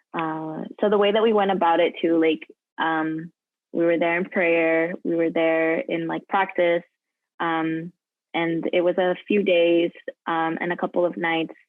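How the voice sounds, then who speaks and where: A woman talks at a fairly slow pace in a normal speaking voice. Her pitch is fairly low and her intonation fairly even. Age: 20s. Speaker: college student. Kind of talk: interview answer.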